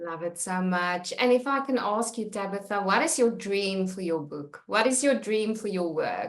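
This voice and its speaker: Hardly pausing, a woman with a South African accent talks at a moderate pace with lively intonation. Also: medium pitch for a woman. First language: Afrikaans. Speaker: podcast host. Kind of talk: interview.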